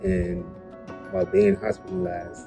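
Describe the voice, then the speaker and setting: Clear music plays behind a man speaking at a moderate pace with ordinary pitch variation. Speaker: gunshot survivor with spinal cord injury. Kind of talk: interview answer. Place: home room. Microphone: phone near.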